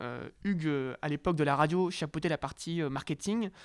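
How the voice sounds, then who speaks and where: Recorded very cleanly against a silent background, dry and close with no echo, a man with an unremarkable speaking voice talks at a fairly high pitch. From northern France, Lille. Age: 20s. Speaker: young entrepreneur. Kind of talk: interview.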